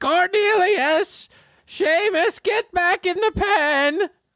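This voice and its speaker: A put-on character voice shouts at an extremely high pitch. The delivery is very slow. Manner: screaming, frantic.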